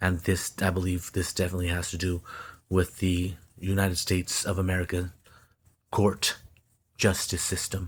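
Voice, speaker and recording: Recorded very cleanly with a silent background, a man speaks in a very deep, low, somewhat breathy voice with flat, monotone intonation and long, frequent pauses. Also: moderate pace. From Stockton, California, Mexican American. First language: Spanish. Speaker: social media commentator. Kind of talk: monologue mixing reading aloud and commentary. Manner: halting, repeats words.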